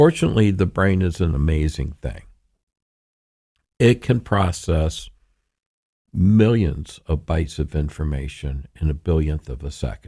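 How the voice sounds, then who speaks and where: A man with a very deep, low pitch and a dark, mellow tone speaks at a fairly slow pace, somewhat breathy, with ordinary pitch variation and long, frequent pauses. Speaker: therapist and trauma expert. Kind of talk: interview. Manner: calm, soothing.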